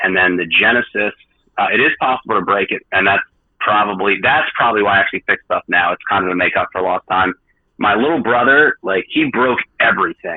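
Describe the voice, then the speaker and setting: A man with a New Jersey accent talks at a fairly quick pace. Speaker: video game repair specialist. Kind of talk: podcast interview. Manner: fast; long-winded, filler-heavy.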